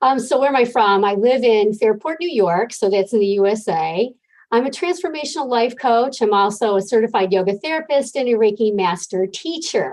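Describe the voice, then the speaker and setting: Using a normal speaking voice, a woman talks at a fairly quick pace with lively intonation, very even loudness and hardly any pauses. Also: fairly high pitch for a woman. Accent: American. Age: 60s. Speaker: life coach. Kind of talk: interview.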